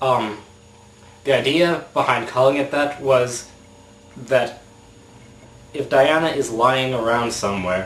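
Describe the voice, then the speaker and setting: Noticeable background noise sits behind a man at medium pitch with ordinary pitch variation. He talks at a fairly slow pace with long, frequent pauses. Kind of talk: casual video blog talk to camera.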